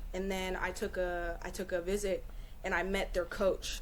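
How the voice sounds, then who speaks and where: A woman with an American accent speaks at a medium pitch with fairly even intonation. Audible room echo surrounds her voice. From Northern California (Bay Area). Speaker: college track athlete. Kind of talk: podcast interview.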